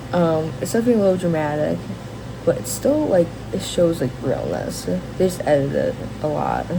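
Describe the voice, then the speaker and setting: With audible room echo and noticeable background noise around her, a woman talks at a fairly quick pace. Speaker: vlogger. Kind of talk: casual rant to camera. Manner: halting, many fillers and restarts.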